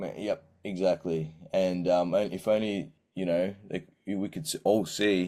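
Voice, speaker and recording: In an Australian accent, a man speaks at a fairly slow pace in a very deep, low pitch, with a dark, mellow tone and ordinary pitch variation. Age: 30s. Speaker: singer-songwriter. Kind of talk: interview. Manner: halting.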